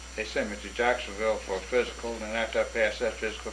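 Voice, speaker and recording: Delivered at a very fast pace in a Southern US accent, the speech carries audible room echo. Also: man. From north Florida. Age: 70s. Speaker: war veteran. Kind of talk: oral history interview.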